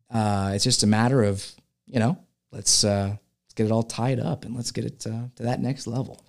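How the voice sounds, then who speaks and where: Here a man with a Californian accent speaks at a moderate pace with ordinary pitch variation. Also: medium pitch for a man. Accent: Californian American English. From California, San Francisco Bay Area. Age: 30s. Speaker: filmmaker. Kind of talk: casual interview chat. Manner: halting, many fillers and repeats.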